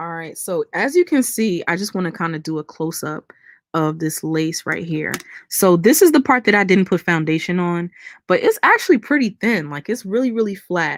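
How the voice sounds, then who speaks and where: A woman with an ordinary speaking voice at medium pitch talks at a moderate pace with lively intonation and big swings in loudness, recorded dry and close with no echo on a very clean, silent background. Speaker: beauty YouTuber. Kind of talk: live-stream tutorial and chat. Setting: live stream. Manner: casual, chatty.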